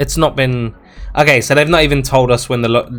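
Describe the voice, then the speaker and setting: With music in the background, a man speaks at a medium pitch and a fairly quick pace. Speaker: gaming YouTuber. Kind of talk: game news commentary. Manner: fast; animated.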